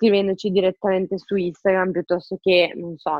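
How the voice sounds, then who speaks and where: An ordinary speaking voice from a woman, fairly low-pitched and moderately paced. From Romagna, Italy (Forlì). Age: 30s. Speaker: online shop owner. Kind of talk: interview.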